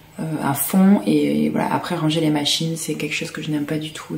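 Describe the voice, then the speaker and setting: A soft-spoken voice moves at a fairly quick pace. Audible room echo and noticeable background noise fill the recording. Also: woman. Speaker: sewing vlogger. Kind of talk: casual vlog talk to camera.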